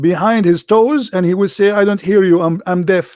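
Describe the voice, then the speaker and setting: The speaker is a man with an Arabic accent. His high pitch moves with ordinary variation. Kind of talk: live commentary. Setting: live stream. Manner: animated.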